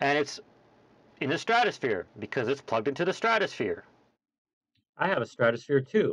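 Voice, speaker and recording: At a fairly quick pace, a man speaks with very wide pitch swings and long, frequent pauses. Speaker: YouTuber. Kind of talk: casual gear review video. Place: home room.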